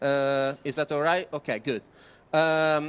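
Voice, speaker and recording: A man's bright, sharp tone at a moderate pace, dry and close with no echo, in a very clean recording with a silent background. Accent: Italian. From Italy. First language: Italian. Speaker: project presenter. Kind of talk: presentation. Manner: halting, many fillers.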